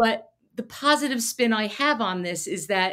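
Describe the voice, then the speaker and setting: A woman speaks at a fairly high pitch with an American accent. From Connecticut, Fairfield County. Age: 60s. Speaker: special education advocate. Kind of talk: podcast interview.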